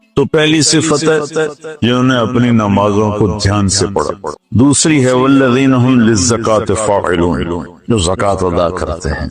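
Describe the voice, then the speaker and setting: Lively intonation marks a man's medium-pitched, unremarkable speaking voice. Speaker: Islamic preacher giving a sermon. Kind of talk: Islamic sermon (bayan) to an audience.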